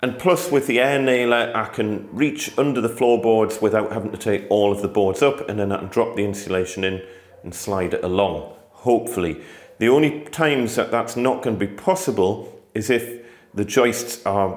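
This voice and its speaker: The speaker goes at a moderate pace with ordinary pitch variation. Audible room echo can be heard. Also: man. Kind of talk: tutorial. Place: home room. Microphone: phone near.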